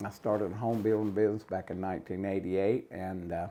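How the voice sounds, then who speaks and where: In a North Carolina accent, a man with a dark, mellow tone and fairly low pitch speaks at a moderate pace. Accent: Southern US, North Carolina. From North Carolina, Cabarrus County. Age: 70s. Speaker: retired home builder and tournament angler. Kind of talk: casual interview.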